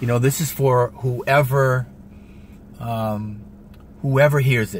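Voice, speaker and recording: Somewhat breathy, a man speaks with fairly even intonation. The sound is dry with no echo, with light background noise. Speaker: vlogger. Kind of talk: casual vlog chat, motivational. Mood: earnest, heartfelt. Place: car. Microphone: phone near.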